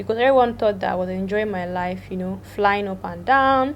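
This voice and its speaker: A woman speaks with a Nigerian accent at a fairly quick pace. Her pitch variation is ordinary. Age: 20s. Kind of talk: casual storytime talk to camera. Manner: lively, chatty.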